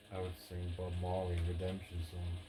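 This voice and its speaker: A soft-spoken man with a very deep, low pitch speaks at a fairly slow pace in a relaxed tone. There is noticeable background noise. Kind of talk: ASMR softly spoken gaming and life talk. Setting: indoors with rain on conservatory roof. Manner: soft-spoken, relaxed.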